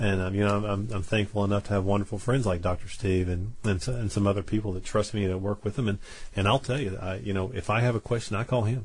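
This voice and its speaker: Against a quiet background, a somewhat breathy man with a fairly low pitch talks very fast. He has hardly any pauses and a fairly even intonation. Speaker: Chinese medicine practitioner. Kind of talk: radio call-in chat. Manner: halting, repeats words.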